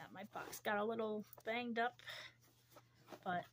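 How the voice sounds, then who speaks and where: Here a woman speaks. Her voice is somewhat breathy. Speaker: beauty unboxing vlogger. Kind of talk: product unboxing, casual talk. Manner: casual, halting with fillers.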